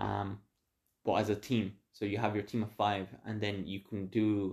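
A man with an Irish accent, monotone and flat, against a quiet background. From Mexico, moved to Ireland as a child. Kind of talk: casual chat.

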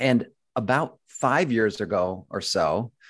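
Over a quiet background, a man with an American accent and fairly low pitch talks in a normal speaking voice with ordinary pitch variation. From Buffalo, New York. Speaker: real estate investor, former actor. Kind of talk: interview.

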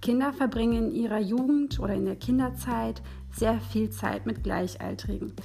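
A woman talks at a moderate pace over background music, with audible echo in the room. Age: 20s. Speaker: student teacher. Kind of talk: lecture. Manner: halting.

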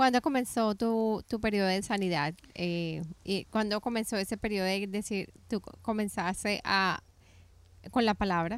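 A woman with an ordinary speaking voice talks fairly slowly at a medium pitch with ordinary pitch variation, in a very clean recording with a silent background. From Colombia. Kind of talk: faith interview chat.

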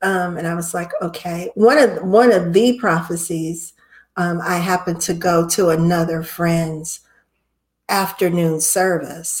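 A woman's fairly low, somewhat breathy voice with an American accent, fairly slow and fairly even in intonation. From Ohio, US Midwest. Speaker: chaplain and encouragement business founder. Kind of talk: casual interview chat. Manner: halting, many fillers and repetitions.

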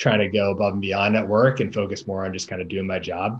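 This man talks with an American accent at a fairly quick pace. His pitch sits fairly low. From Boston area. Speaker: real estate investor. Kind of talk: interview. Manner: halting, many fillers.

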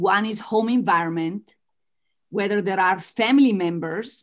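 A woman with an Italian accent at a medium pitch, with ordinary pitch variation, in a very clean recording with a silent background. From Italy. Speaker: author and business coach. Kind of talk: interview.

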